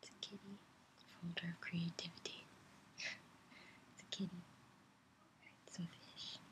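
A woman whispers at a fairly slow pace, leaving long, frequent pauses. Her loudness swings widely. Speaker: ASMR creator. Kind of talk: ASMR soft speaking. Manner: soft-spoken. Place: home room. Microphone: webcam.

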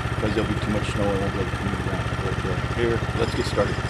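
A man speaks over loud background noise. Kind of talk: casual vlog chat. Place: forest.

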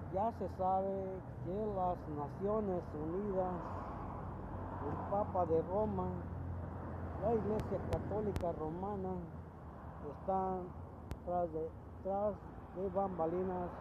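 Over loud background noise, a man talks at a very slow pace with long, frequent pauses. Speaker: vlogger. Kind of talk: casual vlog commentary. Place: street. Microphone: phone near.

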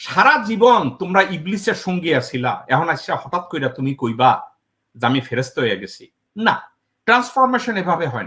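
Bright and sharp in tone, a man's high voice moves through very wide pitch swings. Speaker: political commentator. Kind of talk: political commentary interview. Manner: code-switching with English.

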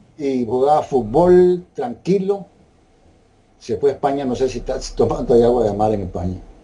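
A man with a Nicaraguan accent speaks at a moderate pace, his pitch swinging very widely. His tone is dark and mellow, somewhat breathy. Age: 80s+. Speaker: interviewee sharing health testimony. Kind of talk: interview answer. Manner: casual, conversational. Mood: calm, earnest. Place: home room. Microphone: video call.

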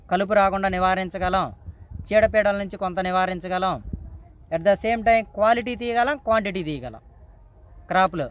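The voice has ordinary pitch variation, and the sound is dry with no echo. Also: man, high pitch for a man. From Guntur district, Andhra Pradesh; Andhra Pradesh. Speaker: farmer. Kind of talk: interview explanation. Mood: calm, advising. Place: farm. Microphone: camera far.

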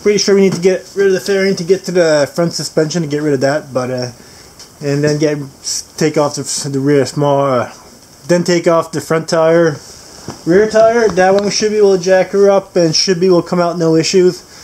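The voice moves at a fairly quick pace with a slightly mellow tone and ordinary pitch variation. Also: man.

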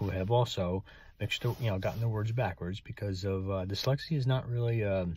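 A man's fairly low voice, somewhat breathy and fairly quick, with ordinary pitch variation and a dry sound free of echo. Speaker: writer and author. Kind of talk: casual talk to camera. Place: car. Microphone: phone near.

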